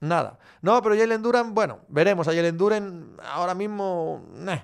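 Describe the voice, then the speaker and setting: A man in an animated tone, on a very clean recording with a silent background. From Galicia, Spain. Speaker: sports podcast host. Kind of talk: live chat Q&A reading viewer comments. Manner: casual, animated.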